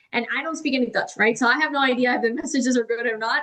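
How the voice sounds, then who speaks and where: A woman speaks in a high voice. Her pace is very fast. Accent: Spanish. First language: Spanish. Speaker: AI and automation consultant. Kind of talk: podcast interview. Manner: casual, filler-heavy.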